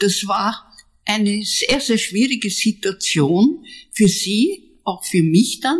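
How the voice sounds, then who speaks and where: A woman speaks in a fairly high, somewhat breathy voice. Her intonation is lively and her pace very slow. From Austria, Zwettl (Lower Austria). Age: 80s+. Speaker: artist. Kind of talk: interview. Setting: at home in Vienna.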